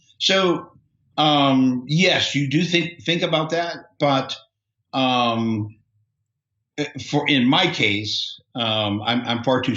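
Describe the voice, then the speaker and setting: Lively intonation runs through very slow speech marked by long, frequent pauses and very even loudness. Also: man. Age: 60s. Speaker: software entrepreneur. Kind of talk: interview. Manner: halting, many fillers and repetitions.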